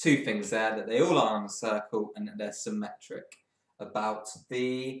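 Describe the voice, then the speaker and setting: Speaking in an English accent, a man uses lively intonation at a moderate pace and a medium pitch. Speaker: maths tutor. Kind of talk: tutorial. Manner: casual, hesitant.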